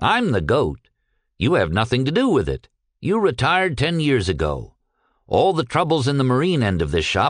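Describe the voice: Plain reading aloud comes over a quiet background.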